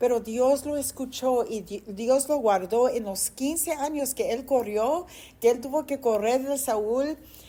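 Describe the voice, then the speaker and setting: A woman's high-pitched voice with a dark, mellow tone, lively intonation and a very slow pace. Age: 60s. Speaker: pastor. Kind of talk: sermon.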